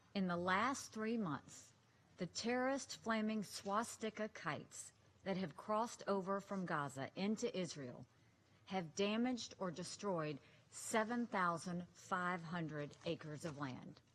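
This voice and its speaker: The woman has an ordinary speaking voice at medium pitch. Her intonation is lively, and her pace is fairly slow. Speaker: US ambassador to the UN, speaking at a Security Council debate. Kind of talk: formal diplomatic speech at a UN Security Council debate.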